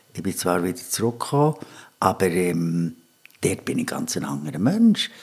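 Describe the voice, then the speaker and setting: The man has a fairly low pitch. He speaks at a moderate pace. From Switzerland, Bern. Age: 60s. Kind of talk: casual interview. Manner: halting.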